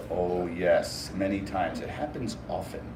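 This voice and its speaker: Amid noticeable background noise and audible room echo, a man speaks at a fairly slow pace with a fairly low pitch. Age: 60s. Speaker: professional storyteller. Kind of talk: interview answers to a child. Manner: animated.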